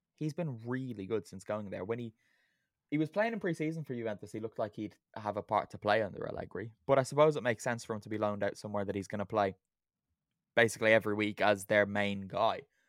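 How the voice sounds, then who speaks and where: Speaking very fast in an Irish accent, a man with fairly low pitch and ordinary pitch variation comes through dry and close with no echo on a very clean recording with a silent background. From Ireland. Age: 20s. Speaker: football podcast host. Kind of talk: casual chat.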